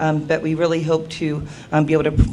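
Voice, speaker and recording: Very deep and low in pitch, a woman talks at a very fast pace in a monotone, flat intonation, with noticeable background noise and audible room echo. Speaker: parent consultant at a health services program. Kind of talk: conference presentation. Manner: loud.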